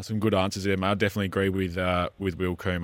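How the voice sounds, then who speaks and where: A man with an Australian accent talks at a very fast pace in a very deep, low voice. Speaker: club radio co-host. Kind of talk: live radio show chat and interview. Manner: upbeat, chatty, enthusiastic.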